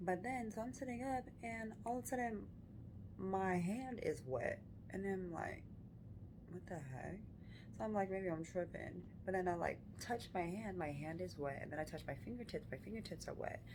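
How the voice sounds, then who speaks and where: Quietly, a woman whispers amid audible room echo. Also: moderate pace. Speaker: vlogger. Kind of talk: casual vlog storytelling. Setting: hospital room. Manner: whispering, quiet.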